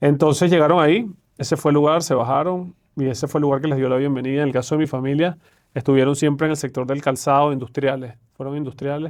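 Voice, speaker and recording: This man's fairly high voice races along at a very fast pace, its intonation staying fairly even. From Venezuela. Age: 40s. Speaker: private banker, investment manager. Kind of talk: podcast interview.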